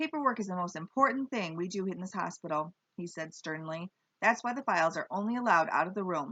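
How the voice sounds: Quiet background behind a natural reading voice with lively intonation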